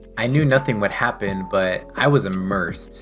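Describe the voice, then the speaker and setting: Music plays behind speech delivered at a moderate tempo. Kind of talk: scripted video essay narration.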